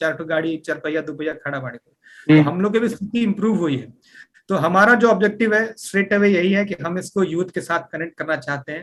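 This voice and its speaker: Moderate-speed speech from a man with a high voice and ordinary pitch variation. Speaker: Bhojpuri-promoting team member living in Singapore. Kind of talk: radio interview answer. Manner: explanatory, mixes English words into Hindi and Bhojpuri.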